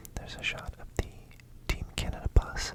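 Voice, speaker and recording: Whispered speech from a man at a medium tempo, over clearly noticeable background noise. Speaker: ASMR vlogger. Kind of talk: whispered vlog voiceover about attending a match. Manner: whispered, soft.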